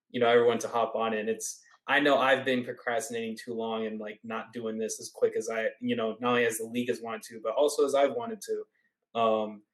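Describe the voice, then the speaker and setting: At a very fast pace with hardly any pauses, a man speaks in a medium pitch with monotone, flat intonation and big swings in loudness. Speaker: podcast host. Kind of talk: casual chat. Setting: quiet home recording room.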